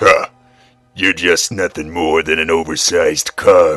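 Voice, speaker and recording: Over faint music in the background, a man does a put-on character voice at a fairly slow pace. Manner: growling through teeth, taunting.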